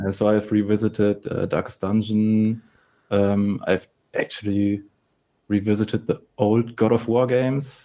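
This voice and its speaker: A man's fairly low, dark, mellow voice with a German accent, monotone, flat intonation and a fairly slow pace. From Germany. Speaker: game studio head and programmer. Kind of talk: interview.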